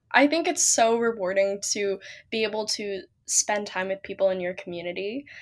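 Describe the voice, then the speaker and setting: A woman speaks with a normal speaking voice, medium pitch and lively intonation at a moderate pace. The recording is very clean, with a silent background. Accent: American. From US Pacific Northwest, Seattle. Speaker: pageant title holder and college student. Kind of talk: interview.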